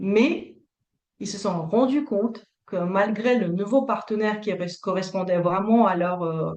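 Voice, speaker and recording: Her pitch is medium and varies in an ordinary way. This woman talks very slowly. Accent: Russian. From Latvia. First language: Russian (speaking French). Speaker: couples therapist. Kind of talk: interview. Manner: hesitant, many fillers.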